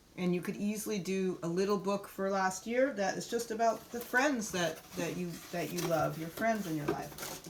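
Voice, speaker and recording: A woman speaks at a moderate pace with medium pitch and ordinary pitch variation. Noticeable background noise and audible room echo are present. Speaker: art workshop teacher. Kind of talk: online workshop.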